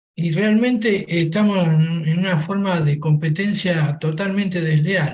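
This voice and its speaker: A man's high voice at a fairly slow pace with fairly even intonation. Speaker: manufacturer. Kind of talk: panel discussion.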